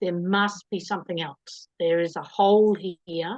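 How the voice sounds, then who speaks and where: Speaking in an Australian accent, a woman of medium pitch talks at a fairly slow pace with fairly even intonation. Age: 60s. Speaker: interviewee. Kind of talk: casual chat.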